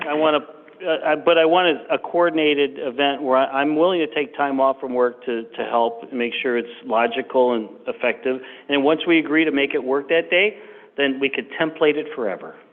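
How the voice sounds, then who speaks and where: There is noticeable background noise behind a man speaking at a fairly quick pace. His pitch sits fairly high, with ordinary variation. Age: 60s. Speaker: resident addressing the board. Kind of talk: public comment at meeting. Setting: village board meeting. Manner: halting.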